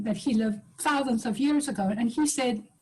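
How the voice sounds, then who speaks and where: At a moderate pace, a woman with a Uruguayan accent speaks in a high pitch with a dark, mellow tone. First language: Spanish. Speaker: professor and business leader. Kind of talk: panel webinar talk.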